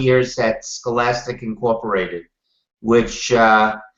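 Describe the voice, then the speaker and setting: A man is speaking. He has a Brooklyn accent. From Brooklyn, New York. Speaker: TV producer. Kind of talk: interview.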